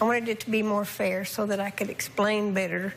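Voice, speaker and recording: A woman at medium pitch with a flat, monotone delivery and a fairly quick pace, amid noticeable background noise. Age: 60s. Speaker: family member living in the household. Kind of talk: talk show interview.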